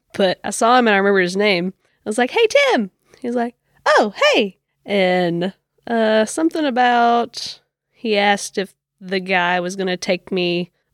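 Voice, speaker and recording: Ordinary pitch variation at a moderate pace, with a very clean recording, silent background and dry, close sound with no echo. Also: woman. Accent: American. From Kentucky, rural Cumberland County. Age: 20s. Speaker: podcast guest. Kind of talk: casual chat.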